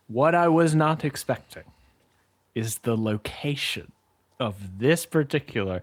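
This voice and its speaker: An animated voice with very wide pitch swings, long, frequent pauses and a fairly slow pace, on a very clean recording with a silent background. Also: man. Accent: American. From US South. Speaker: podcast co-host. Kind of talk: casual chat.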